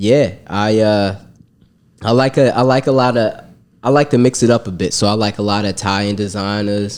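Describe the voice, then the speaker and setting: A man speaks in an ordinary speaking voice with a fairly low pitch. His pace is moderate and his intonation fairly even. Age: 20s. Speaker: rapper. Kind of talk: casual chat.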